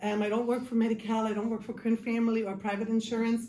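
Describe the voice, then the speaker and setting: A woman's fairly high voice in a German accent, very fast and monotone with flat intonation, over noticeable background noise. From Germany. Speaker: case manager. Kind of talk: life skills class. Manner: casual, many filler ums.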